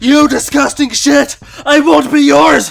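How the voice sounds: A put-on character voice with a fairly bright tone and vocal fry speaks at a slow pace. Its pitch varies in an ordinary way, with faint music in the background. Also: man, extremely high pitch for a man.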